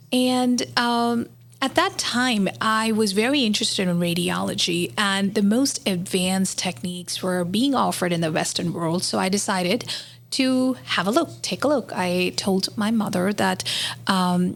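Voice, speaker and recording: Someone with an Indian accent speaks at a moderate pace with lively intonation and very even loudness. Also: woman, medium pitch for a woman. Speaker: physician. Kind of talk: casual chat.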